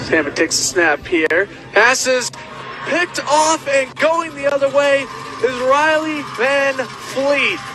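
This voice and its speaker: Over noticeable background noise, a man with an extremely high pitch speaks very slowly in a raised, projected voice, his loudness very even and his pitch variation ordinary. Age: 20s. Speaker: student sports broadcaster. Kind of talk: football play-by-play commentary.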